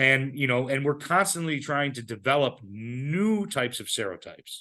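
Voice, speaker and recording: Against a quiet background, a man with a medium-pitched voice speaks with lively intonation. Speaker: biotech company CEO giving an invited talk. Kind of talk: lecture. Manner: fast; repetitive fillers, stumbling restarts.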